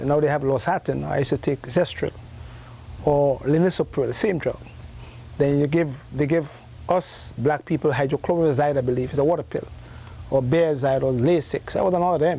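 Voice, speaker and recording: With a Grenadian accent, a man talks at a fairly quick pace in a fairly high pitch, his intonation fairly even and his loudness very even. Long pauses come often. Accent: Grenadian Caribbean English. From Grenada. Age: 60s. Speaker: herbalist. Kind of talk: interview. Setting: live broadcast from a health food store.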